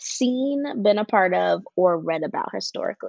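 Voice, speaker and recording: A woman with an American accent speaks in a plain, everyday voice at medium pitch, with ordinary pitch variation and a moderate pace. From US East Coast. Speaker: podcast co-host. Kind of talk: casual chat.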